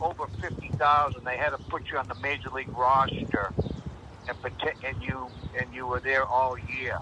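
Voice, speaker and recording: Male speech in an American accent amid noticeable background noise. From Boston. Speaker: former baseball player. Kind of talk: interview.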